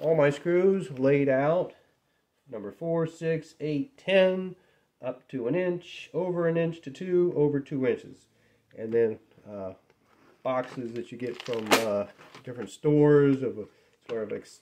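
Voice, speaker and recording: Speaking at a fairly slow pace, a man leaves long, frequent pauses between his words. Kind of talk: casual show-and-tell. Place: workshop.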